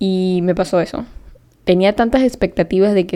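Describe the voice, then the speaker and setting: A woman speaks at a moderate pace in a medium pitch with a dark, mellow tone. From Panama. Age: 20s. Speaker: podcast host. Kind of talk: casual monologue.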